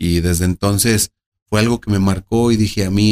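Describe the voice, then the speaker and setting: A man speaks in a plain, everyday voice with a fairly low pitch. His pace is moderate and his intonation fairly even. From Mexico, Aguascalientes. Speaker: political candidate. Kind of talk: interview. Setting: restaurant.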